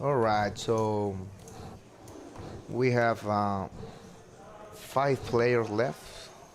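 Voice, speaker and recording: Speaking very slowly with long, frequent pauses, a man with a Spanish accent holds a medium pitch and fairly even intonation. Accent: non-native English, Spanish. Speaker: poker player commentator. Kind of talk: live commentary. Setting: commentary booth. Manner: halting.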